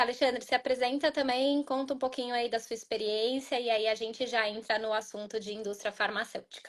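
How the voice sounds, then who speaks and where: Her high voice moving at a fairly quick pace, a woman is speaking. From Brazil. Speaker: pharma consultant, webinar co-host. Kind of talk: live webinar chat.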